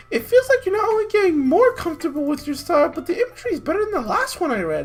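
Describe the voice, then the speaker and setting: A squeaky, put-on character voice sits at an extremely high pitch with very wide pitch swings. It rushes at a very fast pace over light background noise. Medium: game stream. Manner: warm, encouraging.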